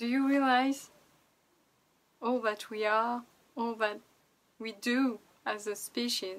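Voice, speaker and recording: A woman with a non-native accent speaks at a very slow pace, leaving long, frequent pauses. Her fairly high voice stays monotone and flat. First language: not English. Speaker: vlogger and artist. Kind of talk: casual vlog monologue.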